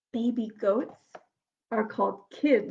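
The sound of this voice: Her voice medium in pitch, a woman speaks slowly in a dark, mellow tone with vocal fry, a slightly husky edge, and ordinary pitch variation.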